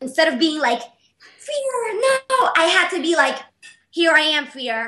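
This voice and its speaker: A woman projects a raised voice with a bright, sharp tone at a fairly slow pace. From Panama. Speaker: artist and business owner. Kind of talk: interview. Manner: energetic.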